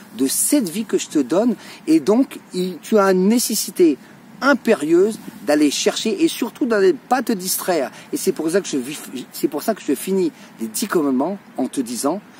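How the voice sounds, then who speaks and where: An animated tone with very wide pitch swings over noticeable background noise. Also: man. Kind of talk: religious talk to camera.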